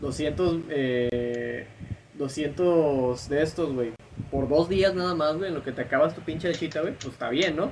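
Speaking at a fairly slow pace with a Mexican accent, a man uses a fairly high pitch amid noticeable background noise. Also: ordinary pitch variation. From Mexico. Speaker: podcast co-host. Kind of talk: casual chat.

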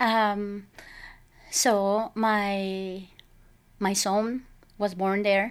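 In a Mexican accent, the speaker talks at a very slow pace with long, frequent pauses and monotone, flat intonation, on a very clean recording with a silent background. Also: woman, medium pitch for a woman. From Mexico, Sinaloa. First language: Spanish. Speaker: parishioner guest. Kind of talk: interview, casual chat.

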